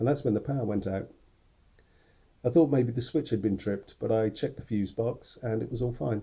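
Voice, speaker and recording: At a fairly quick pace, a man speaks in a dark, mellow tone at medium pitch, with vocal fry and ordinary pitch variation. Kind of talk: first-person diary monologue.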